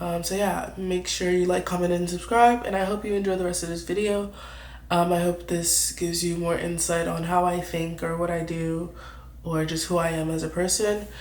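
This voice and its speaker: In a room with audible echo and noticeable background noise, a woman speaks in a fairly low, monotone, flat voice. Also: moderate pace. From New York. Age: 20s. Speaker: YouTuber, artist. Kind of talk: casual vlog Q&A. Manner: casual, meandering.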